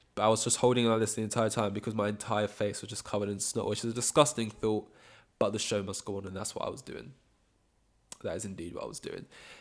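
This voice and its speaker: A man talks at a very fast pace in a fairly low voice. His intonation stays fairly even while his loudness swings widely. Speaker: solo podcaster. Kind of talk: casual monologue. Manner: rambling, filler-heavy.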